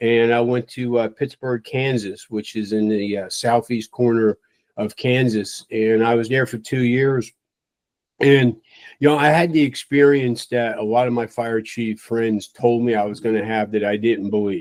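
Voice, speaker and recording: With an unremarkable speaking voice, a man speaks at medium pitch and a moderate pace, his intonation fairly even and the sound dry and close with no echo. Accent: American. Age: 60s. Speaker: retired fire chief. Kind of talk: interview.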